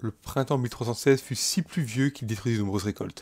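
A man's medium-pitched, somewhat breathy voice carries a solemn, dramatic tone at a moderate pace with ordinary pitch variation. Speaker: let's play narrator. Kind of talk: dramatic narration of alternate history, in-game let's play. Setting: gaming video voiceover. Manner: solemn, dramatic, epic storytelling tone; formal, archaic-sounding narration.

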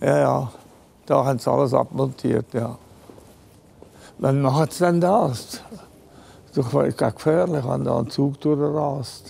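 Long, frequent pauses break up a man's speech. His pace is very slow. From Switzerland, Engadin; Switzerland. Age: 80s+. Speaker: artist. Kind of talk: interview; interview answer. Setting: train station. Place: station.

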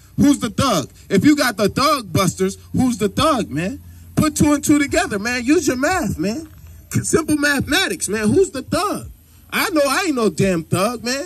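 This loud voice moves at a moderate pace, its pitch swinging very widely. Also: man, extremely high pitch for a man. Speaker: street preacher. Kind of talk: street preaching. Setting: outdoors. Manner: animated. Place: open country.

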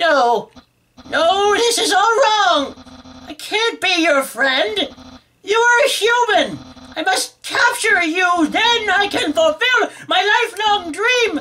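Putting on a character voice at an extremely high pitch, a man talks at a fairly slow pace. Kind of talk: comic overacting. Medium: game stream. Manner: loud, theatrical, grandiose and excitable.

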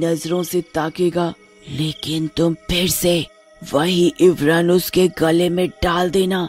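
A put-on character voice at a middle pitch drones at a very slow pace in monotone, flat intonation. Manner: coaxing, persuasive.

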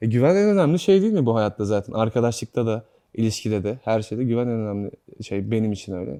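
At a very fast pace, a man with a dark, mellow tone and medium pitch speaks with ordinary pitch variation over a quiet background. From Turkey, İzmit. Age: 20s. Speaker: actor. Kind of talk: interview.

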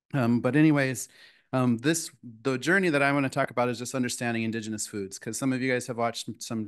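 A man talks at a very fast pace. Behind him the background is quiet. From US Midwest, South Dakota reservation then Minneapolis. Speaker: chef. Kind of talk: lecture. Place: hall. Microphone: podium.

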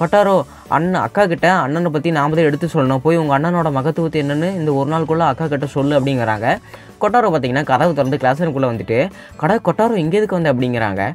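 A man's fairly high voice with lively intonation over music in the background. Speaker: anime recap narrator. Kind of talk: anime episode recap narration. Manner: casual, conversational.

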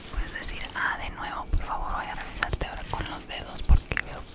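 Loud background noise surrounds a soft-spoken voice talking at a moderate pace. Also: woman. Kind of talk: ASMR roleplay. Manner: soft close-mic ASMR voice. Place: office. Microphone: studio mic.

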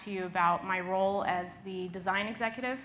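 A woman with a bright, sharp tone speaks with fairly even intonation over light background noise. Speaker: conference presenter. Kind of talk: presentation talk. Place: hall.

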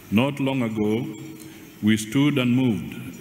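Light background noise and audible room echo accompany a man as he talks. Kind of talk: formal speech. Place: hall. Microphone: podium.

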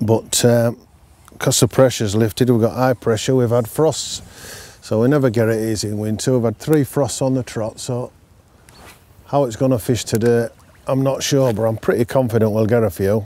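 A man speaks at a moderate pace with a Yorkshire accent, his tone dark and mellow. His intonation is fairly even, and the sound is dry with no echo. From North Yorkshire. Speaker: angler, brand ambassador; presenter. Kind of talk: fishing tutorial chat. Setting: outdoors at a fishing lake. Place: waterside. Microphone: lapel.

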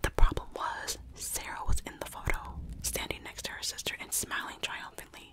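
A soft-spoken, whispering woman at a moderate pace, over light background noise. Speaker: storyteller. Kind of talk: scary story narration. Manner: close soft whisper into microphone. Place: home room. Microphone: studio mic.

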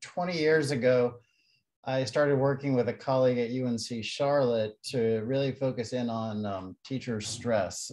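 Quiet background behind a man at a moderate pace with ordinary pitch variation. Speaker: university professor presenting research. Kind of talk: lecture. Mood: friendly, relaxed. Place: home room. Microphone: video call.

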